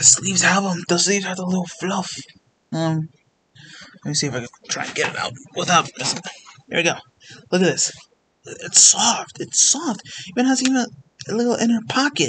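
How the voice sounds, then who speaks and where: A man's high-pitched, bright, sharp voice with very wide pitch swings and long, frequent pauses. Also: fairly quick pace. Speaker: gaming youtuber. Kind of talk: casual chat. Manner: halting.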